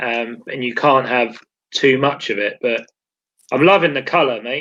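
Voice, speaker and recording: Speaking at a moderate pace, a man with a medium-pitched voice and a southern English accent uses ordinary pitch variation. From southern England. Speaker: beard oil brand owner and video host. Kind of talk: casual chat.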